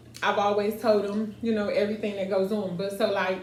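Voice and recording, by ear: A woman at a fairly quick pace with little pitch movement, in audible room echo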